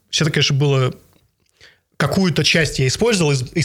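A man talks at a fairly quick pace with a somewhat breathy sound. His pitch sits fairly high, with ordinary pitch variation. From Bratsk, Irkutsk region, Russia. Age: 30s. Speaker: regional politician. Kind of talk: interview.

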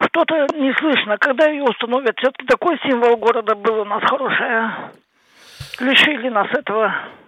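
This woman has a high pitch with ordinary pitch variation and talks at a moderate pace. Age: 70s. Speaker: caller. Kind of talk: phone-in call.

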